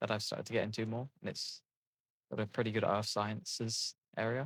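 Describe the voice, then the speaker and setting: A fairly quick-paced man's voice in an English accent. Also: dry, close sound with no echo. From England. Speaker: gaming video creator. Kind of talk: casual gameplay commentary. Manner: halting, many fillers and restarts.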